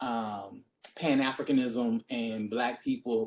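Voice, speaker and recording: A man speaks with a Deep South US accent. His intonation stays fairly even. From US Deep South. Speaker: history professor. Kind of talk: panel discussion. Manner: hesitant, many fillers.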